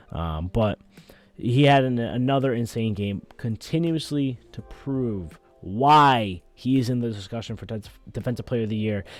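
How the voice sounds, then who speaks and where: A man speaks at a medium pitch with ordinary pitch variation. Music plays in the background. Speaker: sports podcast host. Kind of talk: solo sports podcast commentary. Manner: fast, stumbling over words.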